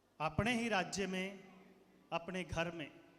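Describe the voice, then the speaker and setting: In a room with audible echo, a man speaks at a high pitch with ordinary pitch variation. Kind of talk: speech to school audience. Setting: stage with audience.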